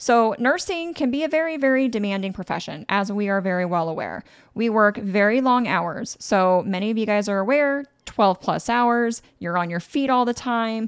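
A woman's fairly high voice, animated and lively in intonation, at a moderate pace over a very clean recording with a silent background. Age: 30s. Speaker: nurse and podcast host. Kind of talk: solo podcast monologue.

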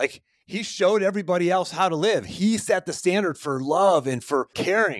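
Speaking at a moderate pace, a man uses an animated tone with lively intonation. He has an American accent. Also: dry, close sound with no echo, very clean recording, silent background. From Pittsburgh, US. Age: 40s. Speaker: podcast host, success coach. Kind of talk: solo podcast monologue.

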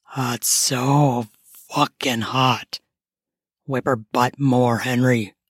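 A woman does a put-on character voice at an extremely low pitch, speaking very slowly with a slightly husky edge and fairly even intonation, in a dry, close sound with no echo.

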